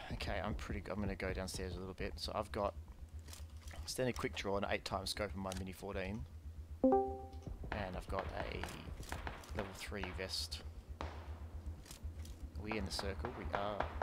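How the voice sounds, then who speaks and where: Loud background noise surrounds a dry sound that carries no echo. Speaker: gamer. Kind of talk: casual gameplay commentary with teammate. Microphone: headset.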